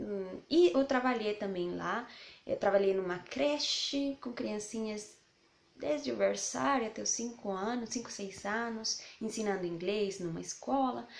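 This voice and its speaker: At a fairly slow pace, a woman speaks with a Spanish accent. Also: fairly high pitch for a woman, lively intonation. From Colombia, Bogotá. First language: Spanish (speaking Portuguese). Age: 20s. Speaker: language teacher and mother vlogger. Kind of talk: casual vlog introduction.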